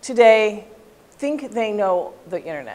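Her intonation is lively as the woman speaks at a fairly slow pace. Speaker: presenter, instructor. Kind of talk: lecture. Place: classroom.

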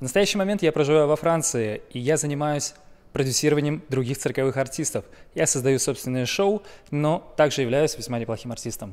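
Speaking at a fairly quick pace, a man with a fairly high pitch and ordinary pitch variation has a plain, everyday voice. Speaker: juggler and circus producer. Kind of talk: self-introduction and record attempt commentary. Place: stage. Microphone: handheld.

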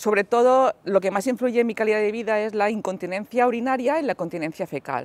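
In a dry sound with no echo, a woman speaks at a fairly high pitch with ordinary pitch variation. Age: 40s. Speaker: person with spinal cord injury. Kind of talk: testimony; interview answer. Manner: halting. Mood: calm, matter-of-fact. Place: street.

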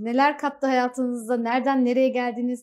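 A woman speaks at a moderate pace in a high voice. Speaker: TV show host. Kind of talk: TV interview hosting. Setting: studio. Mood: friendly, smiling. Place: studio. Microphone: lapel.

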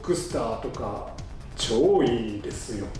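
There is audible room echo and music in the background as a man speaks. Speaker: fan vlogger. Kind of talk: casual vlog chat. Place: home room.

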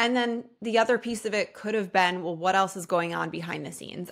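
Her voice is medium in pitch with a bright, sharp tone and fairly even intonation, recorded against a quiet background. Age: 30s. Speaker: podcast host and health coach. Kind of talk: solo personal podcast monologue. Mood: reflective, warm. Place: home room. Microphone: studio mic.

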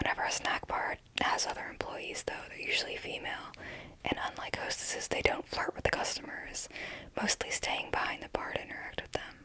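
A woman whispers at a fairly quick pace. She is soft-spoken. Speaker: true crime storyteller. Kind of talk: true crime narration. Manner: soft close-mic whisper. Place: home room. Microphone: handheld.

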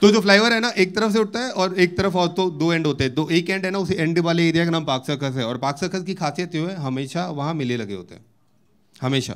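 A man's voice, high in pitch. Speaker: stand-up comedian. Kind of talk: stand-up comedy routine. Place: stage. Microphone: handheld.

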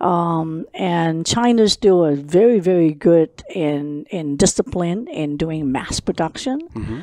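In a Cantonese accent, a woman speaks very slowly with lively intonation, a dark, mellow tone and hardly any pauses. The sound is dry with no echo, against a quiet background. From Hong Kong. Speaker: lighting company founder; guest. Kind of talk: interview. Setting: her office. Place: meeting room.

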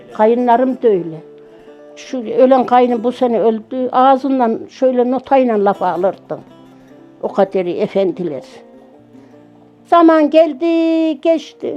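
Music plays behind a woman speaking at a very slow pace with long, frequent pauses. Her high voice makes very wide pitch swings. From central Anatolia, Yozgat. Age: 70s. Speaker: village widow telling life story. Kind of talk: life story interview.

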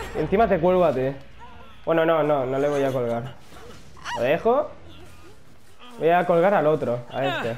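Lively intonation with long, frequent pauses, audible room echo and noticeable background noise. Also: man, fairly high pitch for a man, moderate pace. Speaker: gaming youtuber. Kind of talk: gameplay commentary. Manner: animated.

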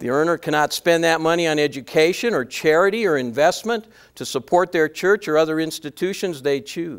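Speaking at a fairly quick pace with hardly any pauses, the man uses ordinary pitch variation. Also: quiet background. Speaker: professor giving a workshop talk. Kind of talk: lecture. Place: hall. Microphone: podium.

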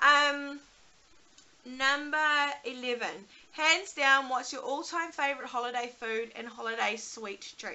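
A high-pitched woman with a New Zealand accent, at a fairly slow pace with long, frequent pauses, big swings in loudness and ordinary pitch variation. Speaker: YouTuber, mother; vlogger. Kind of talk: casual vlog talk to camera. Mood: relaxed, chatty. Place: home room. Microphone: webcam.

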